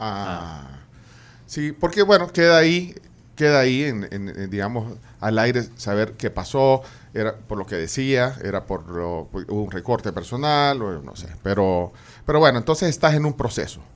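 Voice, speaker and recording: The voice moves at a fairly slow pace, with very wide pitch swings and big swings in loudness. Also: man, medium pitch for a man. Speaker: radio host. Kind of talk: interview. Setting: studio. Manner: halting.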